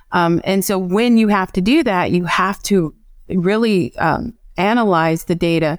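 An unremarkable speaking voice from a woman with an American accent, medium in pitch, fairly slow, with ordinary pitch variation. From US Midwest (Evanston, Illinois). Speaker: marketing and analytics manager. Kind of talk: interview.

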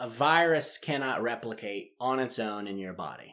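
On a very clean recording with a silent background, a man with a medium pitch talks at a fairly slow pace with lively intonation. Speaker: podcast host. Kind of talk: casual discussion of public health news. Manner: conversational, hesitant with fillers.

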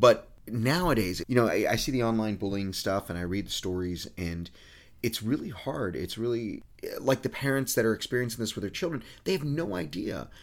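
A man talks in an ordinary speaking voice, keeping a medium pitch and a moderate pace with lively intonation. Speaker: podcast co-host. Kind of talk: casual chat.

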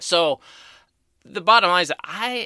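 In a very clean recording with a silent background and a dry, close sound with no echo, a man with vocal fry and a bright, sharp tone makes very wide pitch swings. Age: 50s. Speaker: cosmetic chemist podcast host. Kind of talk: solo Q&A podcast answering listener questions. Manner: conversational with frequent filler words.

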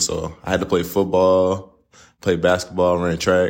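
Someone speaks with a Texan accent on a very clean recording with a silent background. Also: man. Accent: Southeast Texas, near Louisiana. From Southeast Texas, Port Arthur. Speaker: college basketball player. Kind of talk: casual interview. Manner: halting, many fillers.

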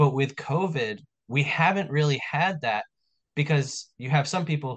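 A man with an American accent has a normal speaking voice at a fairly high pitch. He keeps a moderate pace with ordinary pitch variation. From New York, Long Island. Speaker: restaurant owner and podcast host. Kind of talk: casual chat.

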